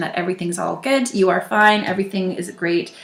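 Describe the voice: Room echo can be heard around a woman's voice. Her pitch is fairly low and her intonation fairly even.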